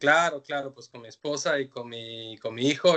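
The tone is bright and sharp. Delivery moves at a moderate pace. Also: man. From Mexico, Mexico City. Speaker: visual artist. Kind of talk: interview. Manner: halting, many fillers.

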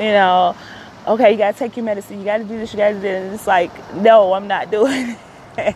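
A woman talks at a very fast pace with an American accent, her pitch medium and her intonation fairly even. Her loudness swings widely, and there is noticeable background noise. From Chicago. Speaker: podcaster. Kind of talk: personal monologue.

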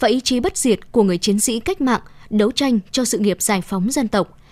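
A woman speaks with a plain, everyday voice at a fairly high pitch and fairly quick pace, with lively intonation. The recording is very clean with a silent background, and the sound is dry and close with no echo. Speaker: news reader. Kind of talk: news reading.

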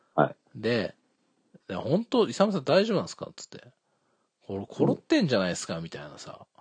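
A man speaks at a fairly quick pace with big swings in loudness and long, frequent pauses. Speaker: podcast host. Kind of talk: casual chat. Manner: casual, joking, talkative.

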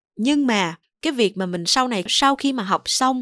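A woman at a fairly quick pace with very wide pitch swings, on a very clean recording with a silent background and a dry, close sound with no echo. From Mekong Delta, southern Vietnam. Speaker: voice talent. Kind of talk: solo podcast talk. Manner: clear, well-articulated.

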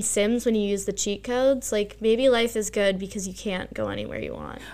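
A woman with an American accent has an unremarkable speaking voice. She talks at a moderate pace with ordinary pitch variation. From Bucks County, Pennsylvania. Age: 20s. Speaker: teacher and stand-up comedian. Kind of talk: casual chat. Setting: home basement.

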